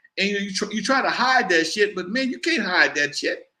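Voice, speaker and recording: A raised, projected man's voice, high in pitch with lively intonation. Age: 60s. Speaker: hip hop pioneer and talk show host. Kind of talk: casual interview chat. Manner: loud; fast, animated.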